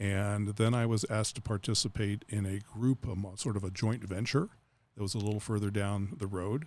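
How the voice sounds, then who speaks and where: A man with an unremarkable speaking voice, fairly low pitch, fairly even intonation and a fairly quick pace on a very clean recording with a silent background. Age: 60s. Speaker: aesthetic medicine doctor. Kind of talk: interview. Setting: studio.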